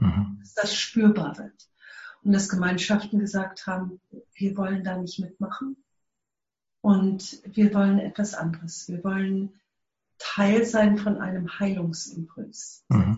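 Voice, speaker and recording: Very slow and somewhat breathy, a woman's medium-pitched voice keeps fairly even intonation, shows big swings in loudness, and breaks into long, frequent pauses. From South Africa. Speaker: eco-village network leader. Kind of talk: interview. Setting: remote connection.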